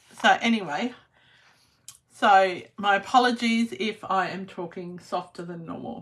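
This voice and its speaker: A woman with an Australian accent at medium pitch, fairly slow pace, ordinary pitch variation and big swings in loudness. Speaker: papercraft demonstrator. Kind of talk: live stream tutorial. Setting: Facebook live video. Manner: uneven volume, sometimes soft.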